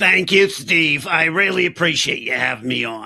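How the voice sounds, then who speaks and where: Putting on a raspy character voice, a man speaks at a moderate pace with lively intonation and a fairly high pitch. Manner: very serious.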